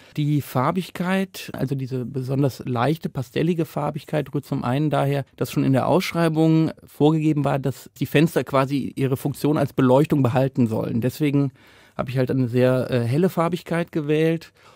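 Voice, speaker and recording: A man's dark, mellow, fairly high voice at a moderate pace, fairly even in intonation with hardly any pauses, dry and close with no echo on a very clean recording with a silent background. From Rhineland, Cologne. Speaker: painter and artist. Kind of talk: interview.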